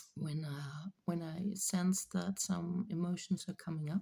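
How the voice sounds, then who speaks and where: A woman speaks at a very slow pace in a fairly low, somewhat breathy voice. Her tone is dark and mellow, and her intonation stays fairly even. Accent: non-native. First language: not English. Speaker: spiritual channeler. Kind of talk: spiritual reading monologue. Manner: halting, many fillers.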